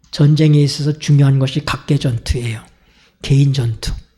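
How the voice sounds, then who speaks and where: Speaking at a moderate pace, a man with fairly high pitch has a dark, mellow, somewhat breathy tone and monotone, flat intonation. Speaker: pastor. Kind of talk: sermon.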